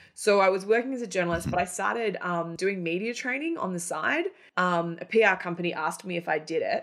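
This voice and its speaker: A woman with an Australian accent, very fast pace and ordinary pitch variation. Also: medium pitch for a woman. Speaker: company founder and former journalist. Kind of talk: interview.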